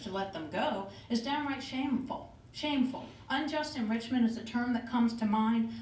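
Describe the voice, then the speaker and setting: A woman speaks with a fairly high pitch and ordinary pitch variation, and the room echo is audible. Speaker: public commenter at city meeting. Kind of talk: public comment speech. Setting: city commission meeting. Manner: formal.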